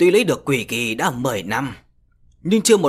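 The passage is read aloud in a natural voice.

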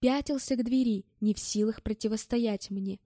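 Text read aloud plainly

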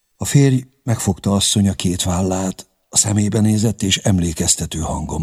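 Quiet surroundings with a natural reading voice

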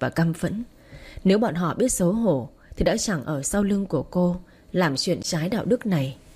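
The text is read out loud. The voice doing it sounds natural.

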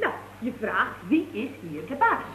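A put-on character voice with a bright, sharp tone moves through very wide pitch swings at a fairly slow pace. Faint background noise is present. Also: woman, fairly high pitch for a woman.

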